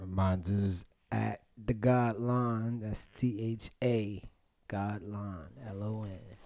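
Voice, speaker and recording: A man speaks very slowly in a fairly low pitch. His tone is dark and mellow. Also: fairly even intonation. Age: 20s. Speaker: podcast host. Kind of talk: casual chat.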